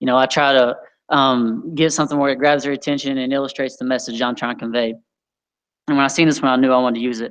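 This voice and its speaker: A man's mumbling at a very fast pace, with fairly even intonation. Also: medium pitch for a man, quiet background. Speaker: youth leader. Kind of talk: sermon.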